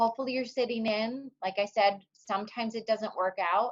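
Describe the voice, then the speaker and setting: Her pitch sits fairly high, and a woman varies it in an ordinary way. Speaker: speech therapist / webinar speaker. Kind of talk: webinar presentation. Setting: online webinar. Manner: loud.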